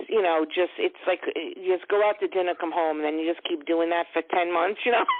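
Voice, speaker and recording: Amid noticeable background noise, a woman in a New York accent speaks at a fairly quick pace with fairly low pitch and fairly even intonation. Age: 60s. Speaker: caller. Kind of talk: phone-in psychic reading.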